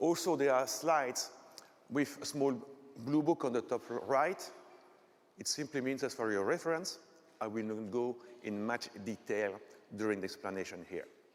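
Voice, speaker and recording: With a Belgian French accent, a man speaks at a moderate pace. His intonation is lively, and he takes long, frequent pauses. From Belgium, French-speaking part. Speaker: technical conference speaker; conference presenter. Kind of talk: lecture. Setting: stage with audience. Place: hall.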